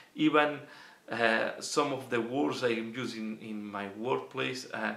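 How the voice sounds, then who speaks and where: Speaking with a Catalan accent, a man goes at a fairly slow pace. Room echo is audible. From Catalonia, Spain. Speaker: miniature wargaming youtuber. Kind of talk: Q&A casual monologue. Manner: halting, many fillers.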